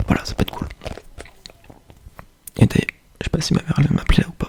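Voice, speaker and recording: A man whispers at a very fast pace. The sound is dry and close with no echo, over noticeable background noise. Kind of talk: ASMR soft spoken chat. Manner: soft-spoken.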